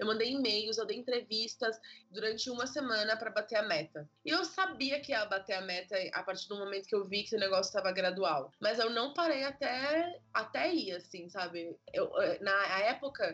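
Noticeable background noise accompanies a woman with a fairly high pitch who speaks at a moderate pace with lively intonation. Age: 20s. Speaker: children's book author and illustrator. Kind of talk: casual interview.

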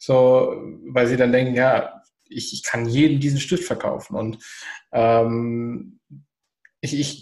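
At a very slow pace, a man talks at a medium pitch in a somewhat breathy voice. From southern Germany. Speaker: entrepreneur. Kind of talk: casual chat.

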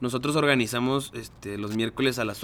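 Speaking with a Mexican accent, a man keeps a medium pitch and a fairly quick pace. The recording is very clean and the background silent. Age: 20s. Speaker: mechatronics engineer and alumni group coordinator. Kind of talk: casual chat.

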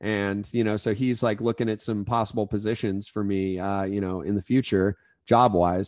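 With an American accent, a man uses a plain, everyday voice at a moderate pace and a fairly low pitch, sounding dry and close with no echo against a quiet background. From Florida. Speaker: podcast host, former fraternity member. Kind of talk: casual chat.

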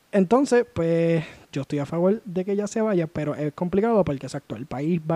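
A man speaks at a moderate pace with a high pitch, ordinary pitch variation, and a dark, mellow tone in a dry, close sound with no echo. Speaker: podcast host. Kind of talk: casual chat.

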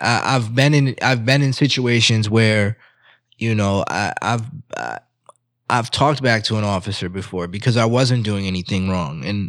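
A man speaks at a medium pitch with ordinary pitch variation, in a normal speaking voice. His pace is moderate, and the recording is very clean with a silent background. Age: 30s. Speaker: podcast co-host. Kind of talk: casual chat.

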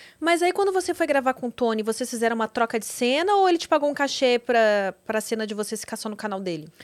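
A woman talks very fast with hardly any pauses. Her high voice swings very widely in pitch. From Rio Grande do Sul, Brazil (Porto Alegre). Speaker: podcast host. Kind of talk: casual interview.

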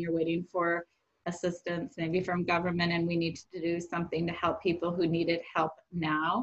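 Her fairly low voice stays monotone and flat as the woman, with an American accent, talks at a moderate pace. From US Midwest (Rockford, Illinois). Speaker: nonprofit executive. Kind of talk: podcast interview.

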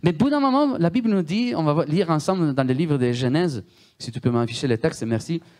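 This man talks at a fairly quick pace, his pitch swinging very widely over a quiet background. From Italy. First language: Italian (speaking French). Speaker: guest preacher. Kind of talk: sermon.

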